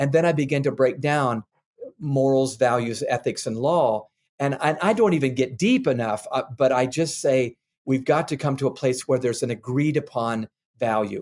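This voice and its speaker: A man speaks at a medium pitch. He has a plain, everyday voice. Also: ordinary pitch variation, moderate pace. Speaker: author and leadership expert. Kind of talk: interview answer.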